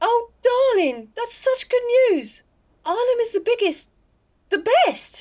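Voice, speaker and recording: A woman puts on a squeaky character voice at an extremely high pitch, with lively intonation, a fairly slow pace and long, frequent pauses. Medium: audio drama. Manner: tender, earnest.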